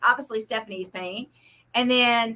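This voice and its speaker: Talking at a fairly quick pace, a woman has a high pitch and a bright, sharp tone. She speaks with an American accent. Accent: Oklahoma and Texas. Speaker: craft booth vendor and co-host. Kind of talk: live stream chat. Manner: fast.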